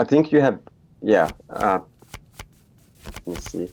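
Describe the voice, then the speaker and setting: Here a man speaks with a Finnish accent. His tone is dark and mellow, and his pace fairly slow. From Finland. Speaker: indie game developer. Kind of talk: interview. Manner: halting, many fillers and repetitions.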